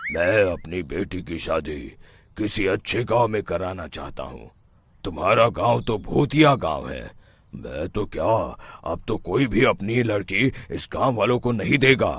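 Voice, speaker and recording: Using a raspy, cartoonish character voice, a man speaks at a fairly slow pace in a fairly low pitch with very wide pitch swings. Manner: stern.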